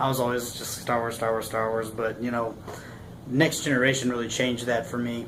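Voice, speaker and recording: Amid noticeable background noise, a man at medium pitch speaks with an American accent. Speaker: army veteran. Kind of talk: casual talk to camera. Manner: stuttering, rambling.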